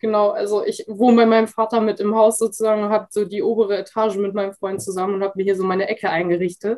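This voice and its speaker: The speech races at a very fast pace with hardly any pauses, delivered in a flat monotone. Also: woman, medium pitch for a woman. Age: 20s. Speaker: Instagram freelancer. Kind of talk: interview. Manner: hesitant, many fillers.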